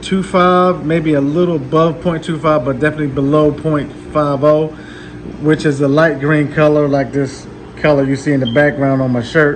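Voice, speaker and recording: A man's fairly high, monotone, flat voice with noticeable background noise and audible room echo. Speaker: aquarium hobbyist YouTuber. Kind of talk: casual video update / tank walkthrough. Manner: many fillers and hesitations.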